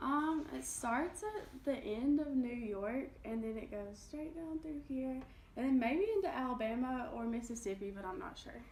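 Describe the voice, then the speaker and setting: In an Appalachian Kentucky accent, a woman with a high pitch speaks at a moderate pace with lively intonation and hardly any pauses, with audible room echo. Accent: Appalachian Kentucky accent, noticeable. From southeastern Kentucky (Appalachia). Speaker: college student interviewee. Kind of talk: interview.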